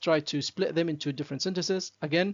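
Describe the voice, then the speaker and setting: A man speaks with a non-native accent. His pitch is high, with ordinary variation. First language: not English. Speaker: academic writing teacher. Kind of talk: tutorial. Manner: halting, many fillers.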